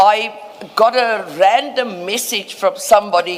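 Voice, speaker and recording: Here a woman talks at medium pitch. There is noticeable background noise. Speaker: advocate, legal counsel. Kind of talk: formal inquiry hearing. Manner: loud.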